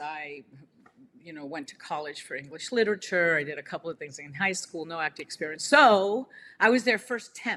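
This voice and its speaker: A woman's fairly low voice at a moderate pace, with lively intonation and big swings in loudness, on a very clean recording with a silent background. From Cuba, raised in New Jersey. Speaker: actor. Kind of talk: interview. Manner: hesitant, many fillers.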